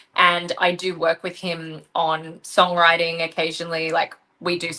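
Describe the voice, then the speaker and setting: Delivered in an Australian accent, the speech is monotone, with flat intonation. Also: woman. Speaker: rock singer and band leader. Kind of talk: interview.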